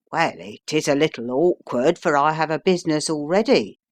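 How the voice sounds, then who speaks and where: Against a quiet background, a man does a raspy put-on character voice with a fairly high pitch at a moderate pace. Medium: read story.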